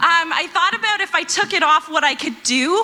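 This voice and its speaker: Noticeable background noise surrounds a woman's raised, projected voice. Her intonation is lively. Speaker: stand-up comedian. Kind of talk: stand-up. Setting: stage with audience.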